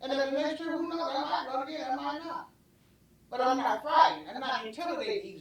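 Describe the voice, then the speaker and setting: A woman talks at a very fast pace in a Southern US accent, her pitch high. Noticeable background noise sits behind her. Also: lively intonation. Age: 70s. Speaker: city commissioner. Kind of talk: public meeting statement. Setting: city commission meeting. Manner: halting, repetitive.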